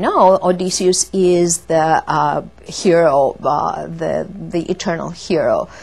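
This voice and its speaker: A woman speaks in a Greek accent. Her pitch is medium, with ordinary variation. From Greece. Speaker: classics lecturer. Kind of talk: interview. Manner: halting, with many fillers.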